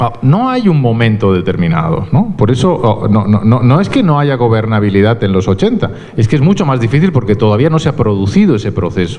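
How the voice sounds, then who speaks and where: Fairly quick and with hardly any pauses, the voice keeps very even loudness and lively intonation, with audible room echo and noticeable background noise. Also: man, medium pitch for a man. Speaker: university researcher. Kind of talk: lecture.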